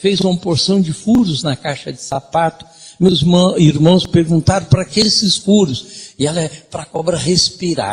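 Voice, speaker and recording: A man with a high pitch speaks at a fairly slow pace, showing ordinary pitch variation and big swings in loudness. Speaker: lecturer. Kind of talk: lecture.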